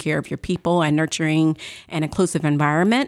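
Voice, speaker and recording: The woman has a normal speaking voice, fairly low in pitch. She talks at a fairly quick pace. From St. Louis, Missouri. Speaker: factory executive, engineer. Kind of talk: interview. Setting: studio.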